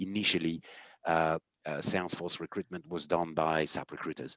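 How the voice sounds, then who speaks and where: Recorded dry and close with no echo against a quiet background, a man talks at a moderate pace. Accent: French. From France. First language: French. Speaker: company CEO. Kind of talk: podcast conversation. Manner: hesitant, many fillers.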